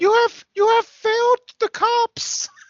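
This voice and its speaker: A put-on character voice speaks at an extremely high pitch with monotone, flat intonation. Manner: menacing, scolding.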